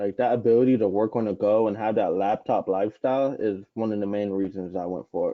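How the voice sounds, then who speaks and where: A man with an American accent speaks at a fairly quick pace with fairly even intonation and a fairly low pitch. He has an ordinary speaking voice. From Florida, Gainesville. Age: 20s. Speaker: online publishing trainer. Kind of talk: live webinar interview.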